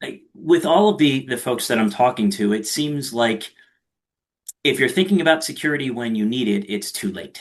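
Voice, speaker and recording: Lively intonation marks this man's speech. He has a Philadelphia accent and a medium pitch. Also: moderate pace. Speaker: podcast host. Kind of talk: podcast interview.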